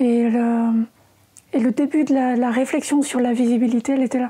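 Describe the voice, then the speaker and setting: High-pitched speech from a woman, monotone and flat in intonation. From France, Normandy. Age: 40s. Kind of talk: interview conversation. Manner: hesitant, many fillers.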